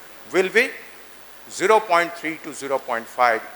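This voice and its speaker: Noticeable background noise surrounds a man's voice. His intonation is lively. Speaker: ENT surgeon lecturer. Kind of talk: lecture. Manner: fast; halting.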